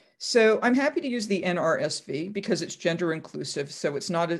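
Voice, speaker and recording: With an American accent, a woman uses a plain, everyday voice, fairly low in pitch, with lively intonation at a moderate pace against a quiet background. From US Northeast (Massachusetts). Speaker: professor. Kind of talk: interview.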